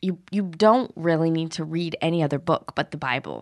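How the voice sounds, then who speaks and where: A woman with an American accent speaks at a moderate pace in a fairly low pitch. It is an unremarkable speaking voice against a quiet background. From Arizona. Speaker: guest. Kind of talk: casual chat.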